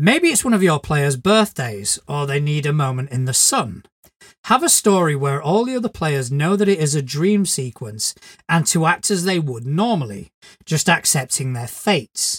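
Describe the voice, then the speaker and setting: A man's fairly high, somewhat breathy voice with very wide pitch swings, at a moderate pace. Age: 40s. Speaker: podcast co-host, game master. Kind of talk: casual chat.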